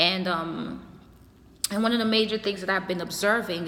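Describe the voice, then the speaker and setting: Over noticeable background noise, a woman with a slight non-native accent speaks with ordinary pitch variation. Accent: slight foreign. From a developing country abroad. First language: not English. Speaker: youtuber and community activist. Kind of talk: casual monologue to camera. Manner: halting, many fillers.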